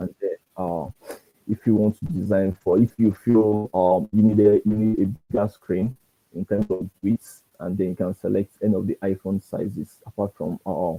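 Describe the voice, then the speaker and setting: Soft-spoken and dark, mellow in tone, a man talks at a moderate pace with fairly low pitch and fairly even intonation, the sound dry and close with no echo. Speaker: design instructor. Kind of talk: tutorial. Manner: halting. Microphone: too quiet.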